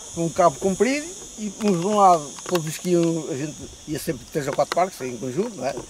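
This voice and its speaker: A man speaks over noticeable background noise. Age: 80s+. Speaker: retired boat caulker and river boatman. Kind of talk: interview reminiscence. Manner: halting, with repetitions.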